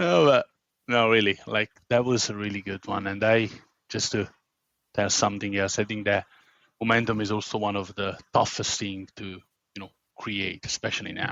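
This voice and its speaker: A man with an Italian accent talks at a moderate pace and a fairly low pitch, with fairly even intonation. His loudness swings widely, and he takes long, frequent pauses. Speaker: podcast host. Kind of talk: podcast interview.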